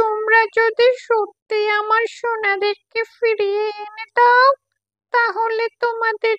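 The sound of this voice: A cartoonish character voice, female-sounding and extremely high in pitch, at a very slow pace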